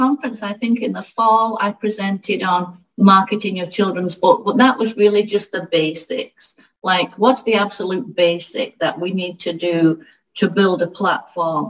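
Here a woman with an American accent speaks fairly slowly at a medium pitch, somewhat breathy, with ordinary pitch variation. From northern England. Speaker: children's book author. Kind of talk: interview.

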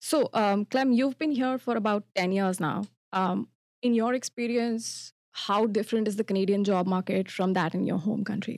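In an Indian accent, a woman speaks at a medium pitch with very even loudness, recorded with a dry, close sound and no echo. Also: ordinary pitch variation, moderate pace. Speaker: podcast co-host. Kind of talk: casual chat.

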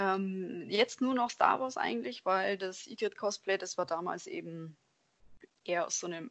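With lively intonation and an unremarkable speaking voice, a woman talks at a moderate pace in a medium pitch. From Germany, Allgäu (Bavarian Swabia). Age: 20s. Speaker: lab technician and cosplayer. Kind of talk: casual interview.

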